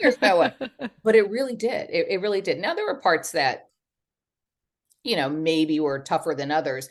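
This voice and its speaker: In a Southern US accent, a woman talks at a moderate pace and medium pitch, her pitch swinging very widely, with long, frequent pauses. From Texas. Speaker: memoir author. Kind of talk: interview answer. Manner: chatty.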